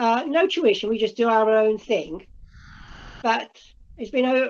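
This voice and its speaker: Against a quiet background, a woman with an English accent and a fairly high pitch talks at a fairly slow pace with ordinary pitch variation. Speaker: amateur painter. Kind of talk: casual chat. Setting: video call. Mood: warm, gentle, slightly wistful. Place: home room. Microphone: video call.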